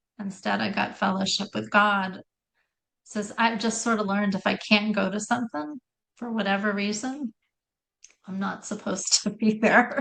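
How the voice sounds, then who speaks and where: In a normal speaking voice, a woman talks at a medium pitch. She keeps a moderate pace with fairly even intonation. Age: 60s. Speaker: Lyme disease survivor, health practitioner. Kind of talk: casual chat.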